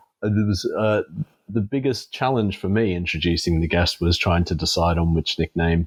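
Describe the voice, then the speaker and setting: Keeping a moderate pace, a man speaks in an English accent. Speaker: podcast host. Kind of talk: casual chat.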